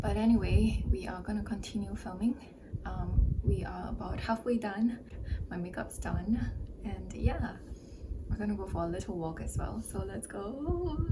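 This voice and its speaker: A woman is speaking amid noticeable background noise. Her voice carries an audible room echo. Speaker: lifestyle vlogger and content creator. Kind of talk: casual vlog narration. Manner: slow. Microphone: soft audio, mic setting issues.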